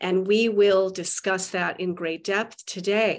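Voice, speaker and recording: Against a quiet background, a woman speaks fairly slowly at a medium pitch with monotone, flat intonation. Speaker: podcast host. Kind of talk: interview discussion.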